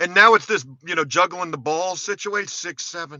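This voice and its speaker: Animated in tone, a man speaks. His pitch is high. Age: 40s. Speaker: YouTuber, contractor. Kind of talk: live stream chat. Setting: in a truck. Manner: casual, animated.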